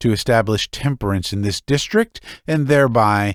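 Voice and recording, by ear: With ordinary pitch variation, the speaker reads the text aloud in a natural voice.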